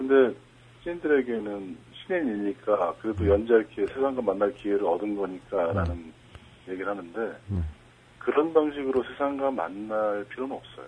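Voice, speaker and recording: In a plain, everyday voice, a man talks at a moderate pace. His pitch is fairly low and his intonation lively. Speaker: cartoonist. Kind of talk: interview.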